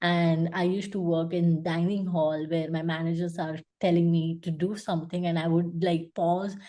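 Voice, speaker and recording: A woman with a Gujarati accent, a fairly low pitch and a dark, mellow tone, in a monotone, flat intonation at a moderate pace with hardly any pauses. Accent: Indian (Gujarati) English. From India, Gujarat. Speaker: UX designer. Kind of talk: interview. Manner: hesitant, many fillers.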